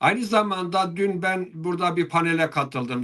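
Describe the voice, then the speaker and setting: A man's high-pitched, bright and sharp voice with an Eastern Anatolian accent. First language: Zazaki (speaking Turkish). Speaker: Alevi religious leader (dede). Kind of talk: interview. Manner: hesitant, many filler sounds.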